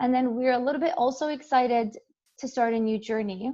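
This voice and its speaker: Speaking fairly quickly with an Arabic accent, a woman has a dark, mellow tone and ordinary pitch variation. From Jordan, moved to Canada at 12. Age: 20s. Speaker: engineering student and model giving a talk. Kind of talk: invited talk.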